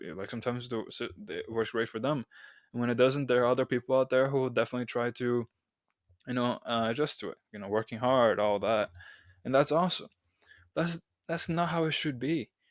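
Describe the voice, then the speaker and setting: A man with a non-native accent and medium pitch speaks at a fairly quick pace, yet with long, frequent pauses. The sound is dry and close with no echo, on a very clean recording with a silent background. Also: ordinary pitch variation. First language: not English. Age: 20s. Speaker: podcast host and college student. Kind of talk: solo podcast monologue. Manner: halting, with self-corrections.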